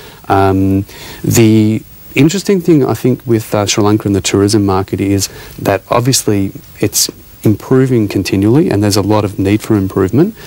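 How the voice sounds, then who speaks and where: A man with an Australian accent speaks at a moderate pace in a fairly low voice. His pitch varies in an ordinary way, and the sound is dry with no echo. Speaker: hospitality academy CEO. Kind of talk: TV interview. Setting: TV studio. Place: studio. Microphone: lapel.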